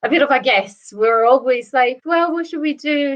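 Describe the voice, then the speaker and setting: With an Italian accent, a woman speaks using lively intonation. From northern Italy. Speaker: whisky brand ambassador. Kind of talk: casual chat.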